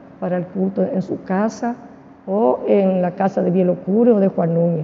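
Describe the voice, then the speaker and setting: A woman at medium pitch with vocal fry, fairly even intonation and a moderate pace. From Argentina, Misiones province. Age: 70s. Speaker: church deaconess. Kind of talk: interview testimony. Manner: halting, with many fillers.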